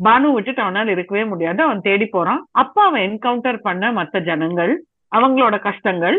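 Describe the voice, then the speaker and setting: With lively intonation and a fairly high pitch, a woman talks in a normal speaking voice. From Tamil Nadu. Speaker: film critic. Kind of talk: casual chat.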